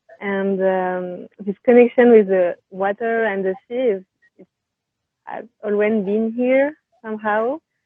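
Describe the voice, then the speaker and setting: A woman with a French accent, fairly high in pitch and fairly slow, with fairly even intonation and big swings in loudness. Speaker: painter. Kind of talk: interview. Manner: hesitant, many fillers.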